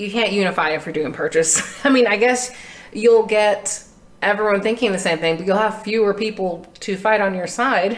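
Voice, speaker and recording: A woman speaks fairly quickly in an American accent, her pitch medium with ordinary variation. It is an unremarkable speaking voice. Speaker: podcast co-host and student. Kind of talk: casual chat. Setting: in person studio recording.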